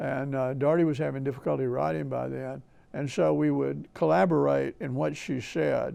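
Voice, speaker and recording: A man with an Alabama accent speaks at a moderate pace. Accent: Southern US (Alabama). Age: 80s+. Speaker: historian and author. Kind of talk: interview storytelling.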